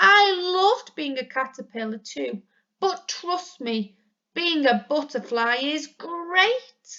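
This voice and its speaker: This woman uses a put-on character voice pitched high. She talks fairly slowly, her pitch swinging very widely. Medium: read story. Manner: hesitant, gentle.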